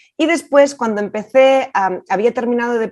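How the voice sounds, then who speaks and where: A woman speaks in a Catalan accent at a moderate pace. Her pitch varies in an ordinary way. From Catalonia, Spain. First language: Catalan (speaking Spanish). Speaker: film director. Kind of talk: interview. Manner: hesitant.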